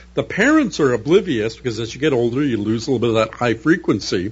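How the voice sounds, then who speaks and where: A man speaks with a Canadian accent at a moderate pace, somewhat breathy. His tone is animated, with very wide pitch swings. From Canada, Toronto area. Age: 60s. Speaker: science fiction novelist. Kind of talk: radio interview. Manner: articulate, animated storytelling.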